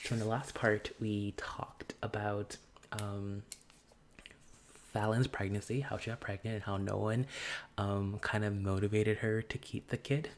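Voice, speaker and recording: Soft-spoken and calm in tone, the voice moves along with long, frequent pauses. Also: moderate pace. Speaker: gaming YouTuber. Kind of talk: casual commentary over gameplay. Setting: filming outside own room. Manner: calm, soft indoor voice.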